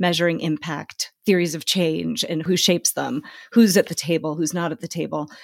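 Her voice fairly low in pitch with vocal fry, a woman speaks at a moderate pace with fairly even intonation, the sound dry and close with no echo. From Tanzania. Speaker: podcast host and author. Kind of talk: casual interview conversation.

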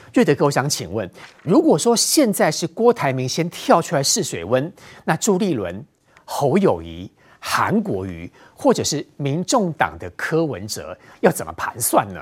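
The speaker is a man who talks at a fairly slow pace. His loudness swings widely. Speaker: TV political talk show host. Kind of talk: TV panel discussion.

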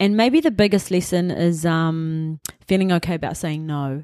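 Speaking with a New Zealand accent, a woman uses a fairly low pitch, fairly even intonation and a moderate pace. The recording is very clean, with a silent background. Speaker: film producer. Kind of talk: casual interview.

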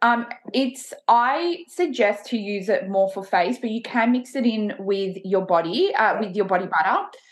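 Delivered at a moderate pace with hardly any pauses and lively intonation, the speech carries noticeable background noise. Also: woman, fairly high pitch for a woman. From Italy and Australia (Melbourne). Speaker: entrepreneur, tanning brand founder. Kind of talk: interview.

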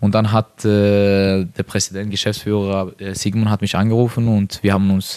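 In a very clean recording with a silent background and a dry, close sound with no echo, a man speaks at a fairly low pitch and a moderate pace in a monotone, flat way. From Norway. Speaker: professional footballer. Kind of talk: interview. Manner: halting.

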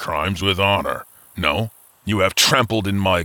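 An unforced reading voice is heard here.

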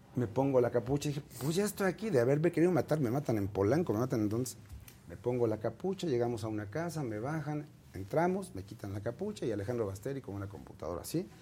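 Speaking at a very fast pace, a man has a dark, mellow, somewhat breathy voice at a medium pitch with lively intonation. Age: 50s. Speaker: entertainment columnist and publicist. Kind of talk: interview.

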